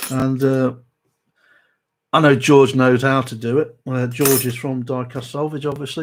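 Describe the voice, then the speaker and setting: On a very clean recording with a silent background, a medium-pitched man with a South Derbyshire accent speaks at a moderate pace in a monotone, flat intonation. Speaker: model restoration youtuber. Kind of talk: live stream chat. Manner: hesitant, many fillers.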